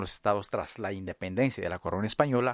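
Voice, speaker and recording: The recording is very clean, with a silent background. A man speaks in a fairly low pitch with ordinary pitch variation. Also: dry, close sound with no echo. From Ecuador, central Amazon (Kichwa community). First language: Kichwa (speaking Spanish). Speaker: anthropologist. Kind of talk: interview. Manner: halting, many fillers.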